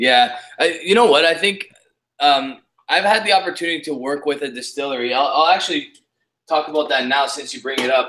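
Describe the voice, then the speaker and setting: A man with an Ontario accent talks at a fairly quick pace in a fairly high pitch, his tone bright and sharp and his pitch variation ordinary. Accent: Canadian English, Ontario. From Canada. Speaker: whisky YouTuber. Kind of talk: casual chat.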